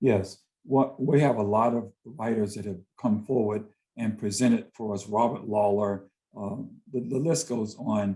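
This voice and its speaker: In an American accent, a man with a fairly low pitch and a dark, mellow tone talks at a fairly slow pace with ordinary pitch variation. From US South, Greensboro, North Carolina. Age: 60s. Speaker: visual artist and poet. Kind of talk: interview conversation.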